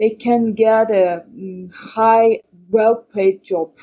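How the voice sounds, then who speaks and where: Pitched fairly high, a woman talks with a non-native accent. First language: not English. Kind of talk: podcast interview. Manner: halting.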